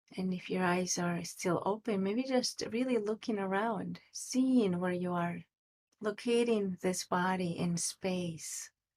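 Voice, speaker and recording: Soft-spoken and very slow, a woman talks at a medium pitch with ordinary pitch variation. The sound is dry and close, without echo. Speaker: meditation teacher. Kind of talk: guided meditation. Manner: uneven volume. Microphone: too quiet.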